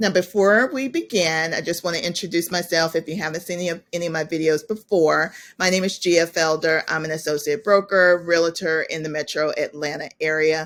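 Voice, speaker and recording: A woman's fairly low voice in an American accent, fairly quick in pace, with fairly even intonation. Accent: Southern US, comes out at times. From US South, South Georgia. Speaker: realtor. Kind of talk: webinar presentation.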